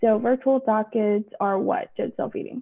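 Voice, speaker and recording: With an American accent, a woman in an ordinary speaking voice talks at a moderate pace and fairly high pitch, with ordinary pitch variation, against a quiet background. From Texas. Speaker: judge. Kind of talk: informational video update to the public. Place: office. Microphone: video call.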